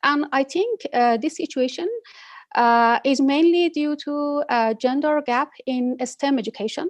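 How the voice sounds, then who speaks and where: The woman has a high pitch and ordinary pitch variation, speaking at a fairly slow pace. The sound is dry and close, with no echo. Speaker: telecom regulator and professor. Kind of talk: panel discussion. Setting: video call. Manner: halting.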